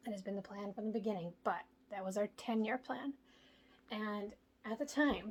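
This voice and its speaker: Quiet and somewhat breathy, a woman speaks at a moderate pace and fairly high pitch, with ordinary pitch variation and long, frequent pauses. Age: 20s. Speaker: home DIY vlogger. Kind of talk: casual vlog talk. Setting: indoors at home.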